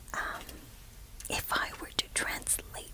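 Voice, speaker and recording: Whispering over noticeable background noise. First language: Spanish. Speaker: ASMR creator. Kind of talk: whispered Bible reflection. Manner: halting.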